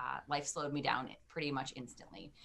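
With an American accent, this voice moves at a fairly quick pace, its bright, sharp tone held to fairly even intonation. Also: woman. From US Midwest, Detroit, Michigan. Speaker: leadership coach and first-time author. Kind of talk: interview.

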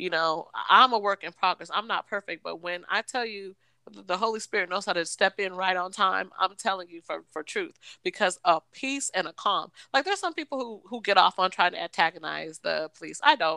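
In an American accent, a woman at a medium pitch speaks at a fairly quick pace with an animated, bright, sharp tone, vocal fry, ordinary pitch variation and big swings in loudness, on a very clean recording with a silent background and a dry, close sound with no echo. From Washington State, US. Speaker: podcast co-host. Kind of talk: casual chat. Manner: animated, laughing often.

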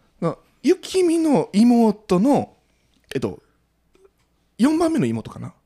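A man with a Kansai accent speaks very slowly, with long, frequent pauses and a dark, mellow tone. His pitch swings very widely and his loudness rises and falls sharply. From Osaka, Sakai. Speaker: podcaster. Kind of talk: casual chat.

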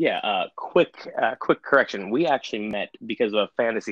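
Talking at a fairly quick pace, a man with an ordinary speaking voice uses lively intonation at a medium pitch. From Connecticut, New England. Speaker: church minister. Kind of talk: casual chat.

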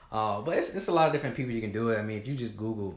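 A man with a Southern US accent speaks amid audible room echo. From Georgia, US South (Griffin). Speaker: nonprofit founder. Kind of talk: interview.

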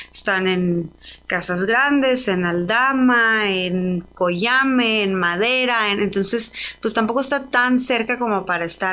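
A woman speaks in a bright, sharp tone. Her pitch variation is ordinary. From Mexico, Ciudad Juárez. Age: 30s. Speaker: entrepreneur, spirits brand founder. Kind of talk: interview. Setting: studio.

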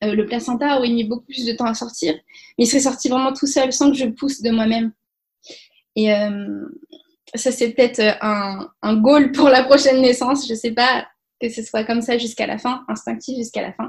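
A woman talks at a moderate pace with a high pitch and fairly even intonation. She leaves long, frequent pauses. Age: 20s. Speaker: mother telling her home birth story. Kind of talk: testimony. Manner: hesitant, many fillers and repetitions.

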